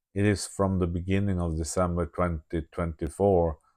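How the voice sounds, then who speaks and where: A man's very deep, low voice in a Swedish accent, monotone and flat, at a moderate pace, with a dry, close sound, no echo and a quiet background. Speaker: video diarist. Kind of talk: reading aloud. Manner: halting.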